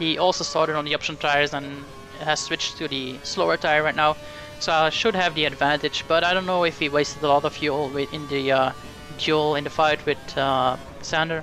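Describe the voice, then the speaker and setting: Music plays behind a man talking at a fairly quick pace. His fairly high voice stays monotone and flat. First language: not English. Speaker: sim racing gamer. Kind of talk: game commentary.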